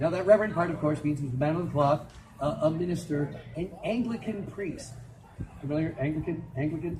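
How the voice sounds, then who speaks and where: Spoken at a fairly quick pace with an American accent, the voice has an animated tone and ordinary pitch variation over noticeable background noise. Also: man, fairly high pitch for a man. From Minnesota. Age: 60s. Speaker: storyteller. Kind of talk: live storytelling performance.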